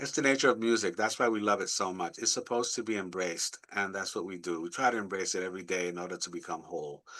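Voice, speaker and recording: The tone is bright and sharp, with ordinary pitch variation. The pace is very fast. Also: man, fairly low pitch for a man. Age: 70s. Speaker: guitarist and music director. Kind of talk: interview conversation. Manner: animated.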